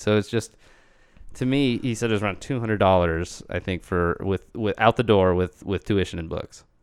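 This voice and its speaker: On a very clean recording with a silent background, a man talks at a moderate pace, his pitch fairly low with ordinary variation. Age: 20s. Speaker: musician, former death metal band member. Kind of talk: casual chat. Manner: halting.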